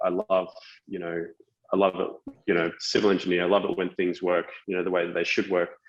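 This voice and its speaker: Here a man speaks with an Australian accent. His voice is fairly low in pitch. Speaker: tech company founder, former civil engineer. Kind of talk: podcast interview. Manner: halting, many fillers and repetitions.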